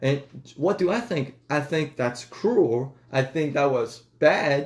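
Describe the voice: A man with a slightly mellow tone. His pitch varies in an ordinary way.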